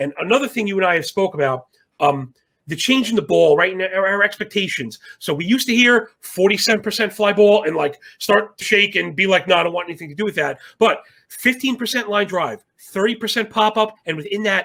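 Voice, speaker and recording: High-pitched and bright, sharp in tone, a man speaks at a fairly quick pace. His intonation is lively and his tone animated. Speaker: sports betting analyst. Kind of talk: sports betting discussion. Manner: fast.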